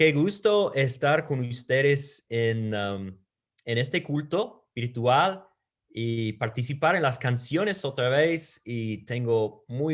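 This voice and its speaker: On a very clean recording with a silent background, a man with a Peruvian accent speaks very slowly at a medium pitch, his intonation lively. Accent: Peruvian-flavoured Spanish. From United States. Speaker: preacher. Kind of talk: sermon. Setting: virtual church service.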